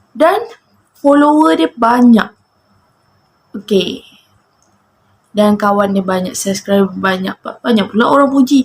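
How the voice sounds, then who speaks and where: A woman speaks slowly-ish, at a fairly slow pace, somewhat breathy and fairly high in pitch. Her intonation is lively, broken by long, frequent pauses. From Malaysia, Johor Bahru. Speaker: vlogger. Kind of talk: casual monologue to camera.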